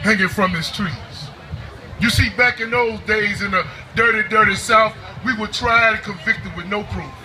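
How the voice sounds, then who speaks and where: Over crowd noise in the background, a man with a high pitch speaks in a raised, projected voice. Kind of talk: spoken word poetry performance.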